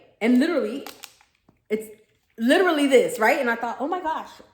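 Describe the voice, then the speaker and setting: With audible room echo, a woman speaks in a high pitch with an animated tone and lively intonation. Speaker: spiritual medium, vlogger. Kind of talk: casual monologue vlog. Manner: fast.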